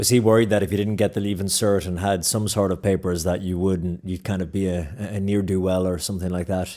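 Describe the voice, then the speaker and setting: A man with an Irish accent speaks very fast in a very deep, low voice with a dark, mellow tone. His intonation is monotone and flat, on a very clean recording with a silent background. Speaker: podcast host and broadcast journalist. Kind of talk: interview conversation.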